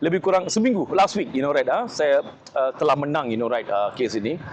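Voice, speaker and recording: Very wide pitch swings in a male voice, noticeable background noise underneath. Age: 40s. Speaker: political candidate and activist. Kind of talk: self-introduction interview. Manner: many fillers and hesitations, code-switching.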